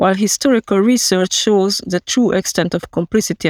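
A woman speaks with a Hungarian accent at a fairly quick pace. Her pitch is medium. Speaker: historian. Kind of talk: read-aloud research statement.

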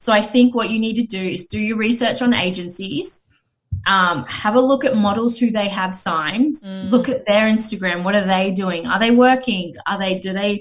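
This woman's voice sits at a medium pitch, somewhat breathy, with ordinary pitch variation. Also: moderate pace. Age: 30s. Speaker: talent agency founder. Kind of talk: casual chat.

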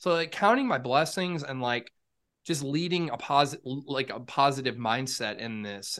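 Here is a man with an ordinary speaking voice, pitched fairly high. He keeps a moderate pace and ordinary pitch variation. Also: quiet background. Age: 30s. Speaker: podcast co-host. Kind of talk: casual chat.

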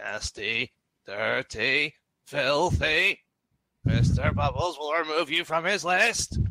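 A put-on robotic character voice from a man, fairly high in pitch and very slow. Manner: sinister, threatening.

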